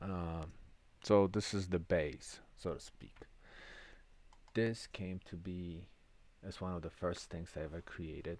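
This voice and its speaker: With a European accent, the speaker goes at a fairly slow pace with fairly even intonation, long, frequent pauses and big swings in loudness. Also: man, very deep, low pitch for a man. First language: non-English European language. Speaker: lottery system creator and channel host. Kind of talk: tutorial. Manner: hesitant, with fillers and restarts.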